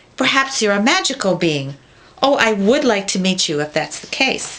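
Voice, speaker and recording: Using a put-on character voice, a woman holds a medium pitch. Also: moderate pace. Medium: read story.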